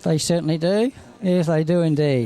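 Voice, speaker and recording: With an Australian accent, a man speaks at a fairly high pitch. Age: 60s. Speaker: harness racing trainer and driver. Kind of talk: interview.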